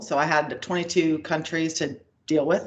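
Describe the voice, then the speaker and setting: A woman with an American accent speaks at a moderate pace in an ordinary speaking voice, with a fairly low pitch and ordinary pitch variation. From United States. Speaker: payments executive. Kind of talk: interview.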